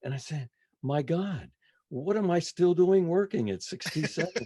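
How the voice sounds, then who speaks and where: A man's voice with very wide pitch swings. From New England. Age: 80s+. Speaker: retired radio disc jockey and musician. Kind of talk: casual interview chat. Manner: halting, many fillers.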